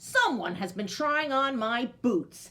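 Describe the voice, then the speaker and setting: A woman does a put-on character voice, loud and bellowing with a growl at a high pitch. She speaks at a fairly slow pace. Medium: read story. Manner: loud, roaring.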